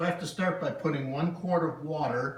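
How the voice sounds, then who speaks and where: Noticeable background noise and audible room echo both accompany a man as he speaks. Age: 60s. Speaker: home cook vlogger. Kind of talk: casual cooking demonstration. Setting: home kitchen.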